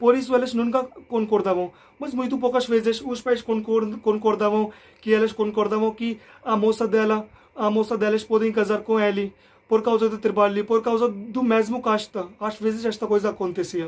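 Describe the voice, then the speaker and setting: A man's high-pitched voice at a moderate pace, with monotone, flat intonation. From India. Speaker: language learner vlogger. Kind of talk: casual explainer vlog. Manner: halting.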